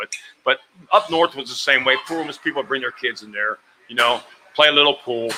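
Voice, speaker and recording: With an American accent, a man speaks at a very fast pace. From New Mexico, US. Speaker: pool hall owner. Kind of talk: casual chat. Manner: animated.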